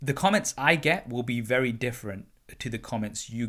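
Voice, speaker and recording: A man with a British accent, medium pitch and a bright, sharp tone, at a fairly quick pace with ordinary pitch variation, in a very clean recording over a silent background. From UK. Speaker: tech YouTuber and podcast host. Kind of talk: casual interview chat.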